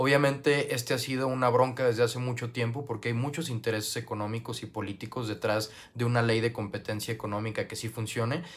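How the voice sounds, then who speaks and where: A man at a very fast pace with hardly any pauses, somewhat breathy, with fairly even intonation. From Mexico, Guadalajara, Jalisco. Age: 20s. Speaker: youth parliament applicant. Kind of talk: application video monologue. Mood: earnest, calm. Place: home room. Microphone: earbuds.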